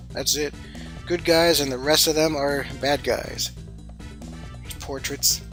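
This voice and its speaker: Background music plays throughout. The speaker keeps a moderate tempo. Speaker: artist. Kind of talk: casual talk to camera.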